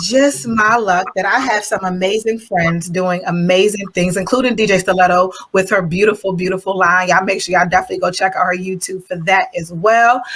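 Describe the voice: Few pauses interrupt a woman speaking at a moderate pace in a medium pitch, her tone fairly bright and her pitch variation ordinary.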